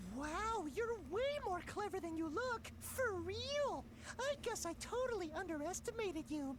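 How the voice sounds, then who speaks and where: Amid loud background noise, a put-on character voice speaks at an extremely high pitch and a moderate pace. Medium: video game. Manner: cutesy, chirpy, punning.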